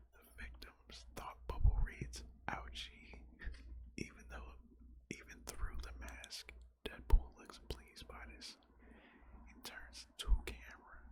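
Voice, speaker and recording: A voice whispers at a very slow pace, broken by long, frequent pauses. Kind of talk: reading stage directions aloud. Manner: whispered.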